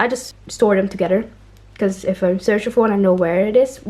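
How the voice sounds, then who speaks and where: This woman has a medium-pitched voice. She speaks with a non-native accent. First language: not English. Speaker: doll collector and reviewer. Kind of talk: casual unboxing review.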